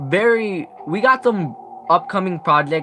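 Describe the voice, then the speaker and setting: A man speaks very slowly with very wide pitch swings while music plays in the background. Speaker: gaming youtuber. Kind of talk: live stream commentary. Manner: halting, many restarts.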